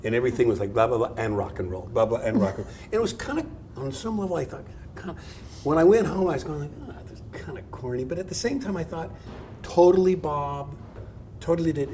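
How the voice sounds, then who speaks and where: Over noticeable background noise and audible room echo, a man talks at a very fast pace in a fairly high pitch, with very wide pitch swings and big swings in loudness. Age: 60s. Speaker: art professor. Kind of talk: public talk with audience.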